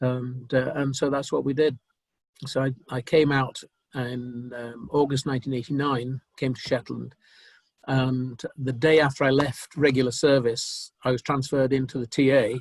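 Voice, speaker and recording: The intonation stays monotone and flat. The voice is somewhat breathy. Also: man, medium pitch for a man, moderate pace. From northern England. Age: 70s. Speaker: retired army officer. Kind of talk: interview. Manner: halting.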